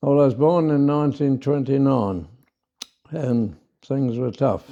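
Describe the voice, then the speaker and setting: Speaking at a fairly slow pace, a man with an Australian accent has a dark, mellow tone, a fairly high pitch and ordinary pitch variation. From South Australia. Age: 90s. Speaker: farmer. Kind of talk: interview. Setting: in person. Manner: halting.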